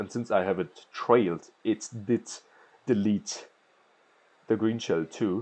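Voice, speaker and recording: A man of medium pitch talks fairly slowly in a strong German accent. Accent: thick German. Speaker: gaming commentator and pro player. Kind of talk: gameplay commentary. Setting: recording voiceover while watching gameplay.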